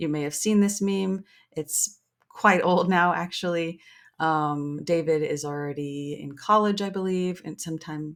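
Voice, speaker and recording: In a very clean recording with a silent background, a woman talks with ordinary pitch variation. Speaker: tutorial video creator. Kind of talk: software tutorial. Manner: fast; casual, with filler words.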